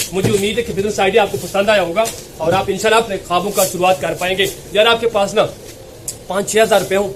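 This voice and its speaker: A man is shouting loudly at a high pitch. Noticeable background noise surrounds him. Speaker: small business advice YouTuber. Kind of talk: motivational business tutorial. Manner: loud, shouting; animated.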